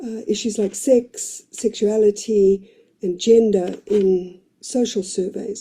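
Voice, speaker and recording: A woman's somewhat breathy, dark, mellow voice, fairly high in pitch, very slow and monotone in flat intonation. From South Africa. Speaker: researcher presenting at a seminar. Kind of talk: pre-recorded presentation. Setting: office.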